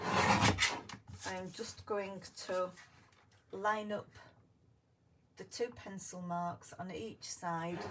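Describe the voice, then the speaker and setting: Over noticeable background noise, a woman speaks at a very slow pace with long, frequent pauses, big swings in loudness, medium pitch and fairly even intonation. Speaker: crafting video host. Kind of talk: crafting tutorial. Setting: live stream on camera.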